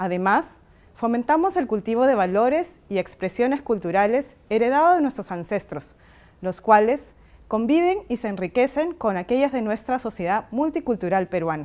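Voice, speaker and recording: Her fairly high voice swings very widely in pitch as a woman speaks at a moderate pace. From Peru. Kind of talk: recorded video message. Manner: formal.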